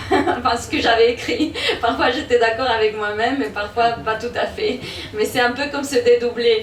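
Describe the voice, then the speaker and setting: Speaking with a Spanish accent at a fairly slow pace, a woman uses a fairly high pitch and fairly even intonation over noticeable background noise. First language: Spanish (speaking French). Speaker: author. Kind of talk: book presentation Q&A.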